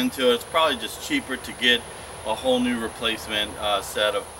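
A man's fairly even intonation against noticeable background noise. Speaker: diy how-to host. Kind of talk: tutorial. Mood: relaxed, chuckling. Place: street.

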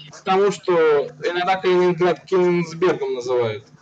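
Light background noise sits under a man talking fairly slowly in a high pitch with ordinary pitch variation. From Samara, Russia; Russia. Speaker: video blogger. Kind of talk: casual chat with strangers. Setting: video chat roulette, recording at home. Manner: informal, joking. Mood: curious, friendly. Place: home room. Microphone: webcam.

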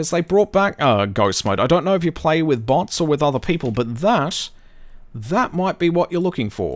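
A man with an Australian accent speaks at a moderate pace, his fairly high voice making very wide pitch swings. The recording is very clean, with a silent background. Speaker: gaming streamer. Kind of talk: live gameplay commentary.

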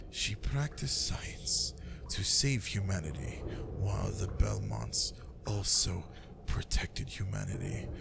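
Put-on character voice from a man, menacing and calm at a fairly slow pace, under loud background noise. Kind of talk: ASMR roleplay. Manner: menacing, slow, coldly calm.

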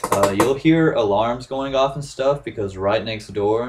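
With light background noise, a man speaks at a moderate pace with ordinary pitch variation. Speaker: vlogger. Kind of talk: casual vlog chat. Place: home room. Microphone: webcam.

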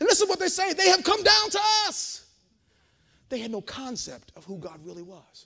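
A man speaks in a raised, projected voice with an animated tone and an extremely high pitch, against a quiet background. His pitch swings very widely, his loudness rises and falls sharply, and his pace is moderate. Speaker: preacher. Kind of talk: sermon. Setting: church. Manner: animated, call-and-response, building to a crescendo; loud, fervent. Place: hall.

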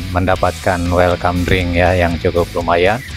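Faint music plays behind a man with a very deep, low pitch, the sound dry with no echo. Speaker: family travel vlogger. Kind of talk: casual vlog commentary. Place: open country. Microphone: phone near.

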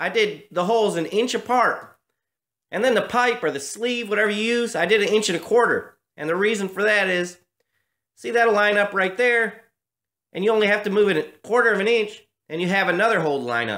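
Over a quiet background, a man talks at a fairly quick pace in a voice that is high for a man, bright and sharp in tone, with ordinary pitch variation. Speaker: hobby tractor restorer. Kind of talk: tutorial. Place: garage. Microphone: phone near.

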